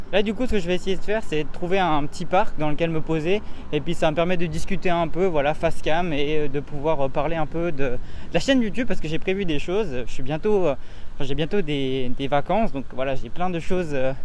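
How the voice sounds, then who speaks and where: Through noticeable background noise and audible room echo, a man speaks at a fairly quick pace in a fairly high pitch with ordinary pitch variation. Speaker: YouTuber, vlogger. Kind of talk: casual vlog talk. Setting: outdoors, walking in the street. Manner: halting, stammering, searching for words.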